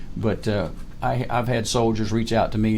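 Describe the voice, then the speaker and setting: A man's medium-pitched voice with a dark, mellow tone and audible room echo. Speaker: retired army colonel. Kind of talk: interview.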